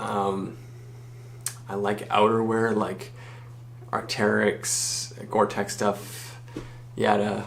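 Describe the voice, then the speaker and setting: A man talks at a very slow pace with long, frequent pauses, his intonation monotone and flat. His pitch is fairly low, and noticeable background noise is present. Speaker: university student. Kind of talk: casual talk to camera. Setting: dorm room.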